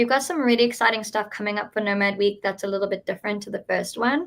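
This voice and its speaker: A woman speaks in a South African accent at a fairly high pitch. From South Africa, Cape Town. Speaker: event organizer. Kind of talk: live webinar presentation. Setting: live stream.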